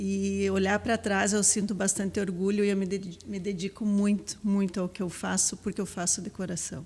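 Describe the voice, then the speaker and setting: A somewhat breathy woman's voice at a medium pitch, moderate in pace, with monotone, flat intonation and hardly any pauses. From southern Brazil, Palmeira das Missões, Rio Grande do Sul. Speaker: school vice-principal, educator. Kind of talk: podcast interview.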